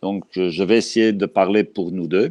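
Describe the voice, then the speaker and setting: In a Belgian accent, a man speaks with fairly low pitch and ordinary pitch variation, recorded with a dry, close sound with no echo against a quiet background. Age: 60s. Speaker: dog trainer. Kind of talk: interview. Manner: slow.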